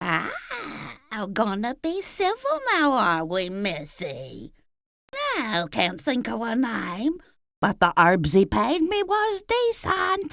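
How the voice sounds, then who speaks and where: A female-sounding, put-on character voice cackles at a fairly high pitch. It moves at a very slow pace with long, frequent pauses. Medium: video game. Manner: cackling, folksy, sly.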